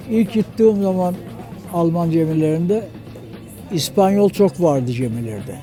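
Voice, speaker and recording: Music plays in the background as a man speaks at a fairly slow pace. His pitch is fairly high and his intonation lively. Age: 80s+. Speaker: retired sailor. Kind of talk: interview answer. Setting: outdoors.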